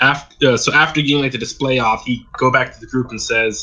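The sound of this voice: The voice is an unforced reading voice. It is heard throughout.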